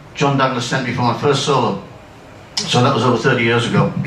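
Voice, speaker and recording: Over noticeable background noise and audible room echo, a man talks at a medium pitch with fairly even intonation. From northern England (near Darlington). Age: 60s. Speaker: retired amateur pilot and aero club life member. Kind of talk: anecdotal talk to an audience. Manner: halting, many fillers.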